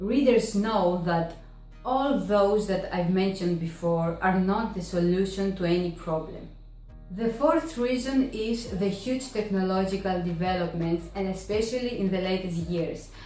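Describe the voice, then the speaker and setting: Music plays in the background as a woman with a Greek accent speaks at a fairly slow pace and medium pitch, with ordinary pitch variation. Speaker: book vlogger. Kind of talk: casual talk to camera.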